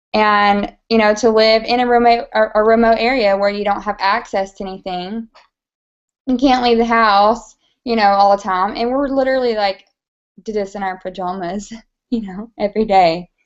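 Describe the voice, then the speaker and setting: A woman speaks with an American accent at a moderate pace. Her pitch is fairly high and her intonation fairly even. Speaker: makeup direct seller. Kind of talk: casual chat.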